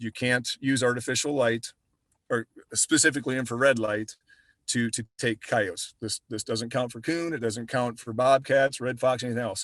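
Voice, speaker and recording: The man's medium-pitched voice has fairly even intonation and sounds dry and close with no echo over a quiet background. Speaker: trapping instructor. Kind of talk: webinar presentation. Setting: online webinar. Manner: fast; halting.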